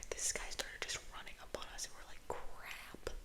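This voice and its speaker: A woman whispers over noticeable background noise. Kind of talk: casual talk to camera, ASMR gameplay commentary. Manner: soft, whispering ASMR delivery.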